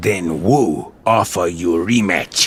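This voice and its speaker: A growling, put-on character voice at a fairly slow pace. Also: man, very deep, low pitch for a man, ordinary pitch variation. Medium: video game.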